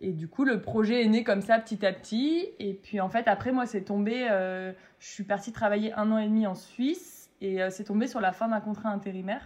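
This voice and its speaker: Somewhat breathy and fairly high, a woman's voice keeps a moderate pace with ordinary pitch variation. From France, Metz (Lorraine). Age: 20s. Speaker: food truck owner, former surgical nurse. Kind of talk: casual interview.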